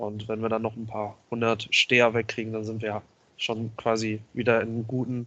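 At a medium pitch, a man speaks at a moderate pace in a monotone, flat intonation. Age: 20s. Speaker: wrestling promoter and videographer. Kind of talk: podcast interview.

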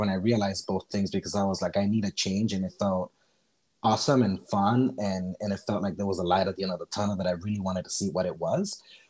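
This man talks very fast in a fairly low voice with an American accent and a dark, mellow tone. His intonation stays fairly even. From Miami, Florida (born Costa Rica). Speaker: podcast guest. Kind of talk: casual chat.

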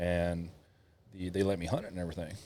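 In a Kentucky accent, a voice with a dark, mellow tone runs at a very fast pace with monotone, flat intonation on a very clean recording with a silent background. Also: man. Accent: Southern US (Kentucky). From Kentucky, US South. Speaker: army veteran and hunter. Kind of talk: casual chat.

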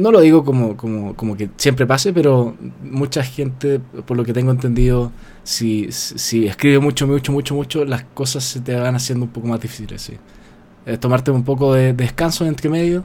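A man talks at a moderate pace with a medium pitch and ordinary pitch variation. Noticeable background noise runs under his voice. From Chile. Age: 20s. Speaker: novelist. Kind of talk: casual interview.

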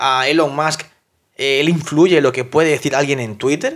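In a very clean recording with a silent background, a man talks in an animated tone at a moderate pace. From South America. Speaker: fitness coach and podcast host. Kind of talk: motivational monologue.

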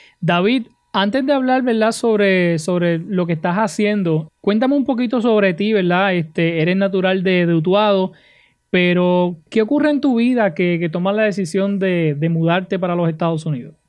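Speaking in a Puerto Rican accent, a man keeps a moderate pace and very even loudness at a high pitch. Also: ordinary pitch variation. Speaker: podcast and radio host. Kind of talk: interview. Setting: video call.

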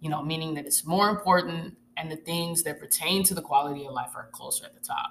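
A woman with a fairly low pitch and ordinary pitch variation rushes along at a very fast pace with hardly any pauses, her loudness swinging widely over noticeable background noise. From Arkansas. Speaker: podcast host, military veteran. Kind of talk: solo reflective monologue.

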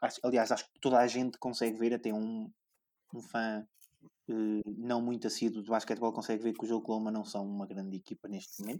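A man talks at a fairly quick pace and a medium pitch, his tone dark and mellow, his intonation monotone and flat. His loudness swings widely, and the sound is dry and close with no echo. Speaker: podcast host and sports journalist. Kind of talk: casual chat.

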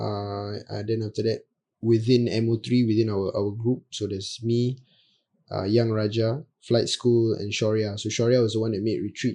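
A man talks in a dark, mellow voice of medium pitch, flat and monotone, at a moderate pace. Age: 20s. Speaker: rapper. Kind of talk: casual chat.

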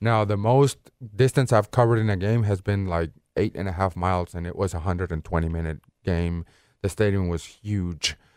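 In a Spanish accent, a man with a very deep, low pitch talks at a fairly quick pace with ordinary pitch variation, the sound dry and close with no echo. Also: very clean recording, silent background. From Venezuela (Caracas). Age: 30s. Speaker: soccer referee. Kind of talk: interview.

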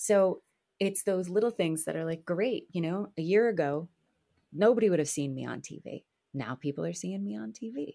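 Her voice sits fairly low for a woman, with a dark, mellow tone and very wide pitch swings. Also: moderate pace. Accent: American. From New Jersey. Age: 40s. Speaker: actor and voiceover artist. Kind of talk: casual chat. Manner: animated.

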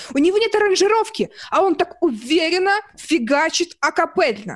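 Her tone animated, a woman speaks at a fairly slow pace. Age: 20s. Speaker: singer, dating show heroine. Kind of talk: casual commentary.

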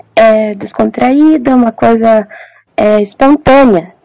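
Speech comes at a very slow pace in a dark, mellow tone. Its pitch varies in an ordinary way. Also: woman. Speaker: psychology student. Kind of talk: casual chat. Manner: halting.

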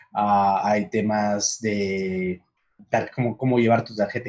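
His pace is very slow. This man speaks with a fairly low pitch and monotone, flat intonation. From Peru, Huancayo. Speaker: director of an online education platform. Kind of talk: casual interview on a livestream.

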